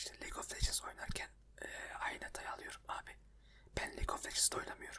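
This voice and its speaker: Someone whispers at a very fast pace. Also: man. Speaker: ASMR video creator. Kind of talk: whispered ASMR chat talking about his computer problems. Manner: whispered, soft.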